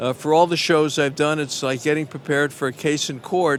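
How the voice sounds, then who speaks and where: There is a Brooklyn accent in this man's voice. He speaks at a moderate pace with a fairly high pitch. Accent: New York (Brooklyn). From New York, Brooklyn. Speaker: baseball radio broadcaster, former defense attorney. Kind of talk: interview.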